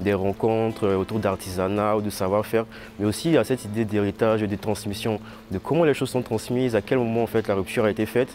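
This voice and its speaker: A man's fairly low voice at a fairly quick pace, fairly even intonation, with music in the background. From Ivory Coast. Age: 20s. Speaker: visual artist. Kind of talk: interview. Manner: halting, many fillers.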